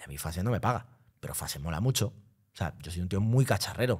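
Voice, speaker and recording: On a very clean recording with a silent background, a man with a somewhat breathy voice talks at a fairly quick pace. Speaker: DJ. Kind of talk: casual chat. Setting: studio.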